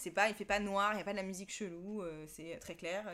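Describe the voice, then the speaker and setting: A plain, everyday voice talks at a fairly quick pace. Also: woman. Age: 30s. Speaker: podcast guest. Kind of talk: casual chat.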